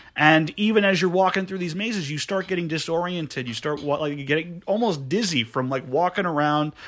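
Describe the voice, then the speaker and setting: A man talks in an unremarkable speaking voice, fairly high in pitch. He moves at a fairly quick pace with ordinary pitch variation. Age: 20s. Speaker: podcast guest. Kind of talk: casual chat. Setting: studio.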